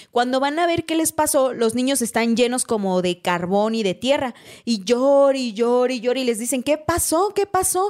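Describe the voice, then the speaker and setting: A woman with a high pitch speaks at a moderate pace with very wide pitch swings and hardly any pauses. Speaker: podcast host. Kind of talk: casual chat.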